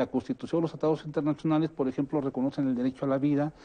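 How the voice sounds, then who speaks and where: Monotone and flat, a man rattles along at a very fast pace with a fairly high pitch. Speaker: lawyer. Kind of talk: televised panel discussion.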